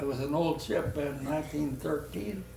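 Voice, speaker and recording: A man talks rather slowly as noticeable noise carries on behind him. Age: 80s+. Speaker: war veteran, former merchant marine. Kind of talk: interview answer.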